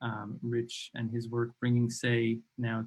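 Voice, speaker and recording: A man's voice comes out somewhat breathy. It sits at a medium pitch. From New York. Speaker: podcast host. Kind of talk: interview conversation. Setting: livestream.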